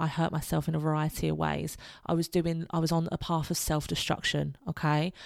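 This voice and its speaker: A woman speaks at a fairly quick pace. The recording is very clean, with a silent background. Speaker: podcast host. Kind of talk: solo podcast monologue, motivational. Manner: loud, talkative.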